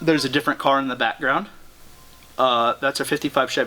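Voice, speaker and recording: A man keeps his intonation fairly even, with noticeable noise audible behind him. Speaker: workshop video host. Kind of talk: casual chat.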